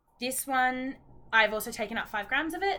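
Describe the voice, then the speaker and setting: Lively in intonation, a woman with an Australian accent speaks at a moderate pace in a bright, sharp tone. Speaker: knitting vlogger. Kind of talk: casual vlog chat. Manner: chatty, hesitant with many ums.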